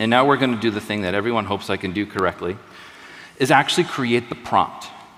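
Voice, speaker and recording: A man with an American accent talks at a medium pitch against noticeable background noise. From US. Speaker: tech presenter. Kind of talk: live product demo.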